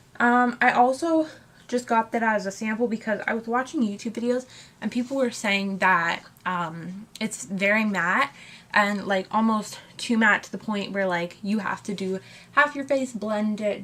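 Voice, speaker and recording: Her speaking voice is unremarkable, at a fairly high pitch for a woman. She keeps a moderate pace with ordinary pitch variation. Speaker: beauty youtuber. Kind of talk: makeup tutorial.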